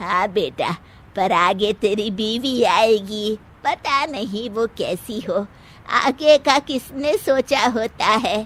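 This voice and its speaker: Using a cartoonish character voice, a woman speaks very slowly at a fairly high pitch with lively intonation. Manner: gentle, motherly.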